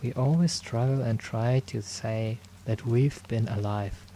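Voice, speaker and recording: Gentle in tone, a man speaks at a fairly slow pace and a medium pitch. His somewhat breathy voice is dark and mellow, with ordinary pitch variation. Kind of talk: ASMR roleplay. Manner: soft-spoken, gentle; caring, reassuring.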